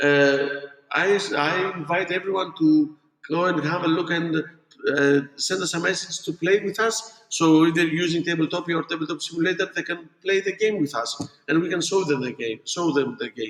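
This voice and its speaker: Someone speaks with a non-native accent at a moderate pace. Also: man, high pitch for a man, ordinary pitch variation. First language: not English. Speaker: board game designer. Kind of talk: interview. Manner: halting.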